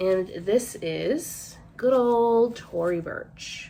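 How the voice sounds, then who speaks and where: Her American accent comes with ordinary pitch variation as this woman talks. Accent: Rhode Island accent, comes out at times. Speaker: online clothing reseller and vlogger. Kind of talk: casual haul vlog talk to camera. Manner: chatty, with many fillers.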